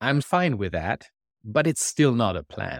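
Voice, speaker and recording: Very clean recording, silent background, with a man of medium pitch in a German accent, vocal fry, very wide pitch swings and a fairly slow pace. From Germany. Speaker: management consultant and author. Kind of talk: interview.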